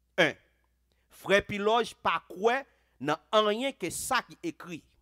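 A man with a Haitian accent talks at a very slow pace in a high pitch, his tone bright and sharp. His pitch swings very widely against a quiet background. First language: Haitian Creole (speaking French). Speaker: pastor. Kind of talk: sermon. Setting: church. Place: church. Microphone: headset.

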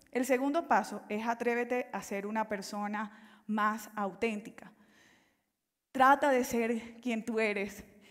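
Over a quiet background, a woman with a fairly high pitch talks at a very slow pace in fairly even intonation. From Colombia, Caribbean coast (Valledupar); Colombia. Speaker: life coach and consultant; life coach. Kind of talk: motivational talk. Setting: stage with audience. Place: stage.

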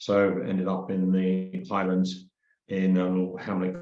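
Heard with audible room echo, a man speaks in a very deep, low pitch. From England. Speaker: community trust chair. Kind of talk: presentation.

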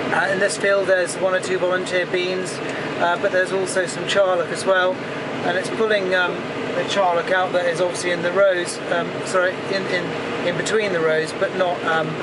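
The speech moves at a moderate pace through loud background noise. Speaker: farmer driving the tractor. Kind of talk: casual commentary while working. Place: farm machine.

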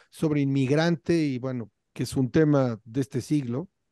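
Over a quiet background, a man with a dark, mellow tone speaks fairly slowly with ordinary pitch variation, the sound dry with no echo. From Mexico City. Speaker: independent musician, podcast co-host; podcast co-host. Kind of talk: casual chat. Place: home room. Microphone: video call.

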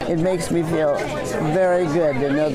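A woman keeps a moderate pace as loud background noise plays around her. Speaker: retired swim coach. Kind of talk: interview answer. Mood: warm, grateful. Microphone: lapel.

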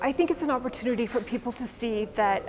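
Ordinary pitch variation over light background noise. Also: woman. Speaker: interviewee. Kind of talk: interview answer. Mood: earnest, thoughtful.

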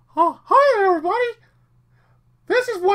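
In a put-on character voice, the speaker goes fairly quickly with an extremely high, squeaky, nasal sound. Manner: cheerful, cartoonish.

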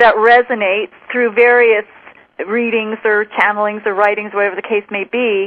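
A woman's fairly high-pitched voice at a moderate pace, an ordinary speaking voice. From Western Canada, Vancouver Island. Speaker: spiritual teacher. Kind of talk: interview.

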